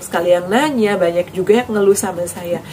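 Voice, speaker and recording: Against noticeable background noise, a woman talks at a medium pitch. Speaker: health vlogger. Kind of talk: vlog advice talk.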